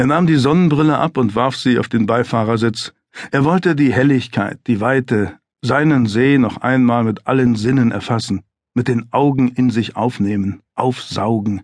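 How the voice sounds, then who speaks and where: In a calm, serious tone, a man speaks at a moderate pace and medium pitch, with ordinary pitch variation and very even loudness. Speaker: audiobook narrator. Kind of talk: dramatic audiobook narration of a thriller, read aloud. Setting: studio. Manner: tense, suspenseful, measured pacing that builds to a chilling, controlled calm; gravely serious, vividly descriptive, with dramatic emphasis on short sentences.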